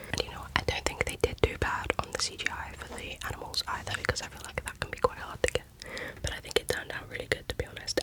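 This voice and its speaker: Whispering at a fairly quick pace, a woman shows big swings in loudness over noticeable background noise. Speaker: ASMR creator. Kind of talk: ASMR whisper rambling. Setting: background traffic noise. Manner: whispered.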